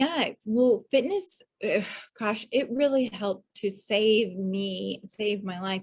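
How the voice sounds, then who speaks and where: A woman speaks slowly-ish at medium pitch, somewhat breathy, her intonation fairly even. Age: 40s. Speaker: spiritual healer. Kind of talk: casual chat.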